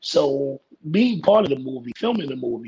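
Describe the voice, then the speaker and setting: The speaker has an American accent and a somewhat breathy voice. The pace is moderate, and the intonation is lively. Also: man. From New York City (Brooklyn). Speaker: actor and substance use counselor. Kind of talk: casual interview chat.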